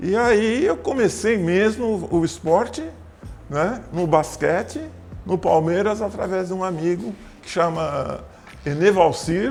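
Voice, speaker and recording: Over background music, a man with a high pitch speaks very slowly with lively intonation and long, frequent pauses. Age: 70s. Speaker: former basketball player and PE teacher. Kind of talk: interview.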